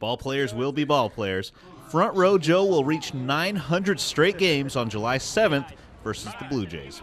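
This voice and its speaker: Very wide pitch swings from a male speaker, with noticeable background noise. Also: fairly high pitch for a man, moderate pace. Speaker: sports reporter and anchor. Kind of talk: TV sports news reporting, feature package. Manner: conversational, lightly humorous.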